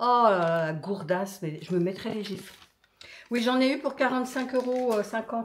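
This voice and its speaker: This woman's fairly high voice rises and falls in a lively way. She speaks at a moderate pace in an animated tone. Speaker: lifestyle vlogger. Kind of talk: casual vlog talk.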